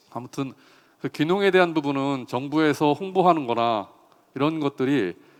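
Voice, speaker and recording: A man's unremarkable speaking voice, fairly high in pitch, with ordinary pitch variation. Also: moderate pace. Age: 50s. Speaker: farmer and agricultural economist. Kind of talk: talk concert speech.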